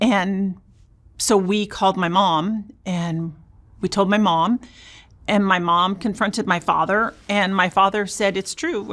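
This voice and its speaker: In an ordinary speaking voice, a woman with an American accent talks at a medium pitch and a fairly slow pace with fairly even intonation. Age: 60s. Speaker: abuse survivor sharing her story. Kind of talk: interview testimony.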